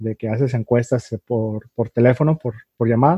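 A man talks at a moderate pace with a medium pitch. His voice is somewhat breathy, with fairly even intonation. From Mexico, Tijuana. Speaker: podcast host. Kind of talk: casual chat. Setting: video call.

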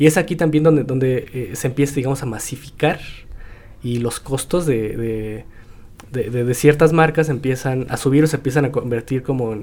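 With a plain, everyday voice, a man talks at a fairly quick pace and ordinary pitch variation. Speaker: podcast host. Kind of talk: casual chat.

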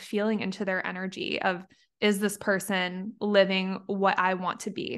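A woman's medium-pitched voice over a quiet background. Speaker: hypnotherapist and spiritual mentor, podcast co-host. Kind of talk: casual chat.

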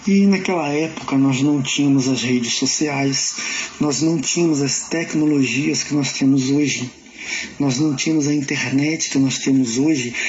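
Against noticeable background noise and audible room echo, a man talks with fairly even intonation. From Brazil, São Gonçalo, Rio de Janeiro state. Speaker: actor and playwright. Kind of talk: personal account in a radio interview.

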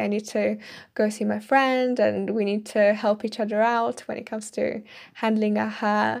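At a fairly slow pace, a woman with a slight Italian accent speaks in a fairly high voice. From Italy. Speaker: podcaster. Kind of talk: solo commentary. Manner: hesitant with fillers.

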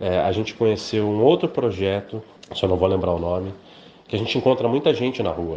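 At a fairly quick pace, a man speaks in an unremarkable speaking voice, fairly low in pitch with ordinary pitch variation. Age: 40s. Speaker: journalist and radio broadcaster. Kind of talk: interview testimony.

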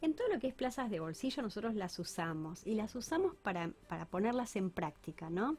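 A woman talks at a fairly quick pace with very wide pitch swings. Her voice is somewhat breathy. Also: hardly any pauses. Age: 50s. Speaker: architect and public works official. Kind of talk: interview.

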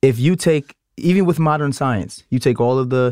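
In a very clean recording with a silent background, a man speaks at medium pitch and a moderate pace with ordinary pitch variation. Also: dry, close sound with no echo. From Brooklyn, New York. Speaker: podcast co-host. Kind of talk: casual chat. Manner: animated.

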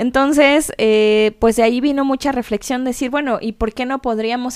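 Fairly even intonation runs through a woman's high-pitched voice at a moderate pace. The sound is dry and close, with no echo. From Mexico City. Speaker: podcast co-host, conservator. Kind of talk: casual chat.

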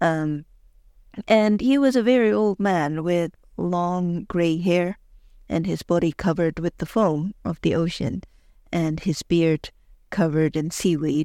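A woman with a fairly low voice, a warm tone and a dark, mellow tone speaks at a fairly slow pace with long, frequent pauses and ordinary pitch variation, on a very clean recording with a silent background. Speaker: podcast host and historian. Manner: measured, warm storyteller pace with reflective pauses and frequent filler hesitations; conversational and enthusiastic, personable.

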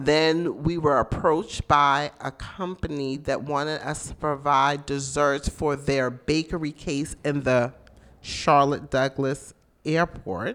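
At a very slow pace, a woman speaks in a very deep, low voice with fairly even intonation in a very clean recording with a silent background. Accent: American. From South Carolina Lowcountry (Mount Pleasant). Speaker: caterer and bakery business owner. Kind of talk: casual interview. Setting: radio studio.

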